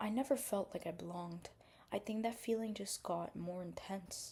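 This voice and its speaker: A woman's medium-pitched, somewhat breathy voice with a dark, mellow tone, ordinary pitch variation and a moderate pace. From India. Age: 20s. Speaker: vlogger. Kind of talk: casual vlog monologue. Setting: at home at night, getting ready for bed.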